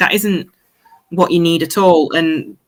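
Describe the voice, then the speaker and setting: The speaker has an East Midlands accent. The intonation stays fairly even. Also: woman. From Derby, English East Midlands. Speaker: football fan. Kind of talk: casual chat.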